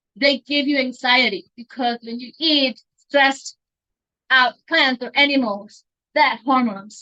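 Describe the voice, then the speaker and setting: Her raised, projected voice is high-pitched and bright and sharp, with big swings in loudness. This woman leaves long, frequent pauses, and the sound is dry and close with no echo. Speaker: teacher. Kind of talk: talk to a meetup audience. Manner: halting, many fillers.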